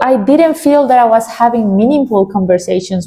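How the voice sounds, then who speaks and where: The speaker has a non-native accent and a dark, mellow tone. The intonation is lively. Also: woman. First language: Spanish. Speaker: vlogger. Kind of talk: casual chat.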